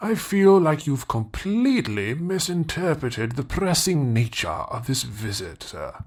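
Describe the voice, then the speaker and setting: Using a put-on character voice, a man swings his pitch very widely with hardly any pauses. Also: fairly high pitch for a man, moderate pace. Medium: audio drama. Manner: cryptic, formal, insistent.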